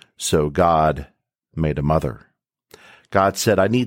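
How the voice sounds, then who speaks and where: In a very clean recording with a silent background and a dry, close sound with no echo, a man speaks with a warm, solemn tone. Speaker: podcast host. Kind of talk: dramatic poem reading in the style of a tribute speech. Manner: warm, solemn, rhythmic cadence with repeated refrain.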